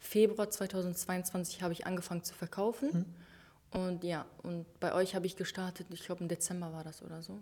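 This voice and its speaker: A woman's somewhat breathy voice at medium pitch, dark and mellow in tone, with fairly even intonation and a moderate pace. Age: 20s. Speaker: online shop owner. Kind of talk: interview.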